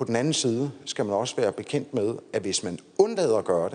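A man is speaking. His pace is moderate. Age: 50s. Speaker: defence committee chair, former lawyer. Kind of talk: lecture.

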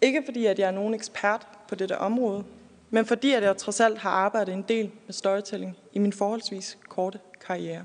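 A woman with a plain, everyday voice speaks at a moderate pace, her medium pitch held in fairly even intonation. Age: 20s. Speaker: architect and furniture designer. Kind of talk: prepared speech, personal story.

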